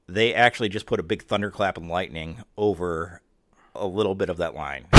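On a very clean recording with a silent background, a man speaks in an unremarkable speaking voice. His pace is moderate and his pitch variation ordinary. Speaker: podcast host. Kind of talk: casual chat.

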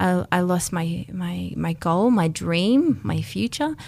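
In an Australian accent, a woman speaks at medium pitch. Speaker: former race walker. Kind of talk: radio interview. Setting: studio.

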